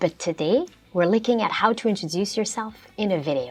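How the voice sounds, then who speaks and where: A woman with a non-native accent and a fairly high pitch at a moderate pace, with music in the background. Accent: non-native English speaker. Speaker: ESL teacher. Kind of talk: educational lesson narration.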